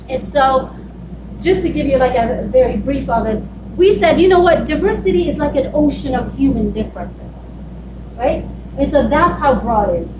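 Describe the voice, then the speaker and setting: A woman speaks with a non-native accent at a moderate pace. The recording has audible room echo and noticeable background noise. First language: not English. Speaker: school diversity and equity leader. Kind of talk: conference presentation. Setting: conference room with audience.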